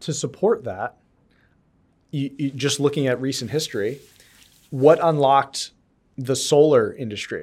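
Speaking with an American accent, a man talks at a fairly slow pace and a fairly high pitch, with ordinary pitch variation. Long, frequent pauses break up his speech in a very clean recording over a silent background. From New York and Connecticut, US. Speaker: podcast host and venture investor. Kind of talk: casual interview chat. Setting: in-person studio. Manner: halting.

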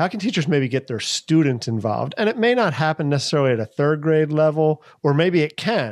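With an American accent and a normal speaking voice, a man at a fairly high pitch talks with lively intonation at a fairly quick pace with hardly any pauses, dry and close with no echo over a quiet background. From Philadelphia. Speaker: teacher, podcast co-host. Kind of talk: casual chat.

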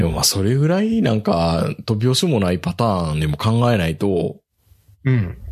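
A man with a fairly low pitch speaks at a moderate pace over a quiet background. His loudness stays very even while his pitch swings very widely. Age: middle-aged. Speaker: podcast host. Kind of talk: casual chat. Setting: video call.

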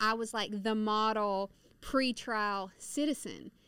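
Fairly even intonation carries a Southern US accent in a very clean recording with a silent background. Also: woman. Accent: Southern US (Georgia). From US South, rural northwest Georgia. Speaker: prison reform advocate, former inmate. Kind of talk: testimony. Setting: studio.

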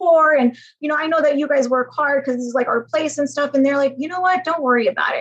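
Female speech, high in pitch, with ordinary pitch variation. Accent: American. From US (Georgia, Ohio). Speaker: hotel executive. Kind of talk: interview.

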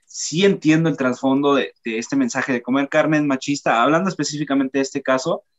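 An ordinary speaking voice from a man, fairly high in pitch, with ordinary pitch variation and a moderate pace. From northern Mexico. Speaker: podcast co-host. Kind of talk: casual chat.

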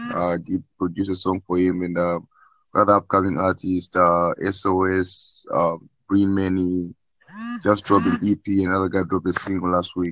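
Over a quiet background, a man with a very deep, low pitch speaks at a moderate pace in a flat monotone. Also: dry, close sound with no echo. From South Africa. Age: 20s. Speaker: music producer. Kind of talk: casual chat.

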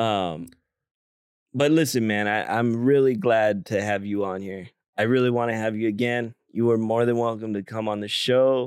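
A man with a plain, everyday voice speaks at a moderate pace and medium pitch with fairly even intonation. The recording is very clean, with a silent background. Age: 30s. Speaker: podcast host. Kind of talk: casual chat.

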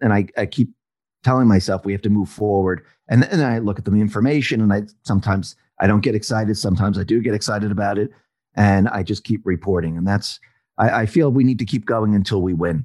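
A man talks very fast in a fairly low voice, with ordinary rise and fall in pitch. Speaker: independent commentator. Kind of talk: casual interview chat. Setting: home studio, recorded remotely. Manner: loud.

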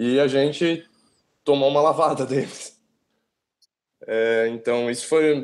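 At a very slow pace with long, frequent pauses, a man talks in a fairly high pitch with ordinary pitch variation. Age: 20s. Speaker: sports fan guest. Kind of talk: casual chat.

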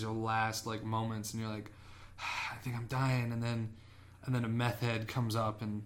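Speaking at a fairly quick pace, a man uses a medium pitch and flat, monotone intonation, with room echo audible. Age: young. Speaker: podcast co-host. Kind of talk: casual chat.

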